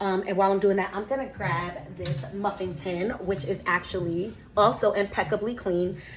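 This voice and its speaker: Amid noticeable background noise, a woman talks at a moderate pace, her pitch varying in an ordinary way. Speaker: lifestyle vlogger. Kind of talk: casual baking vlog and Q&A. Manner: casual, chatty.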